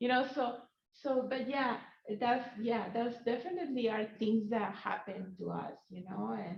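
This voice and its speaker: A woman with a Spanish accent at a fairly slow pace, ordinary pitch variation and audible room echo. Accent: Spanish accent, noticeable. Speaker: professor. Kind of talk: panel discussion. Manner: halting, many fillers.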